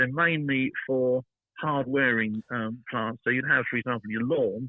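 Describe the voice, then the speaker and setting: A man's medium-pitched voice with a British accent and ordinary pitch variation. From Britain. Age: 70s. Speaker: garden designer. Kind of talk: interview. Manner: halting.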